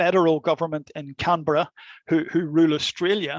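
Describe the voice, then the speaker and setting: Over a quiet background, a man with a Belfast accent speaks at a fairly high pitch in a monotone, flat intonation, the sound dry and close with no echo. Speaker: law academic. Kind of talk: lecture. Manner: hesitant, many fillers and repetitions.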